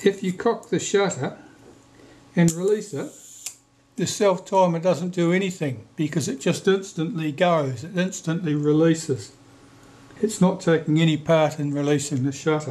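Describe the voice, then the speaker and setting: A man speaks with a high pitch. His pitch variation is ordinary. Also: moderate pace. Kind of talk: tutorial. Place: workshop.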